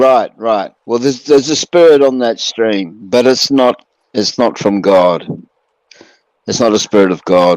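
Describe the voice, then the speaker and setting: An unremarkable speaking voice from a man, medium in pitch with ordinary pitch variation, at a fairly slow pace, in a dry, close sound with no echo. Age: 60s. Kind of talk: casual chat.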